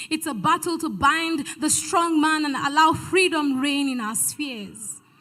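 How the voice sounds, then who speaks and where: A woman projects a raised voice at a moderate pace. Her tone is bright and sharp, and her pitch is high. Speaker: spoken word poet. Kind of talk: spoken word poetry performance at a church event.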